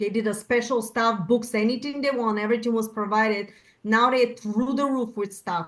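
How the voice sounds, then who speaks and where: A woman speaks at a moderate pace with a Bulgarian accent, her pitch fairly high. Her intonation stays fairly even against a quiet background. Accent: Bulgarian, noticeable. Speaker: panel guest. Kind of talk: panel discussion.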